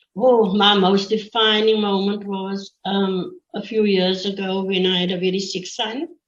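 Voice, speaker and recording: At a fairly slow pace, a woman speaks in a flat monotone at medium pitch. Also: hardly any pauses. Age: 60s. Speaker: teacher. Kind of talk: interview. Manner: halting.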